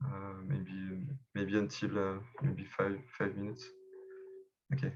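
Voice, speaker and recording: With a French accent, a man talks at a fairly slow pace in a fairly low pitch, his pitch varying in an ordinary way amid audible room echo. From France, Paris. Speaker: election candidate, community member. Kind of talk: video call group discussion. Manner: halting, many fillers and repeats.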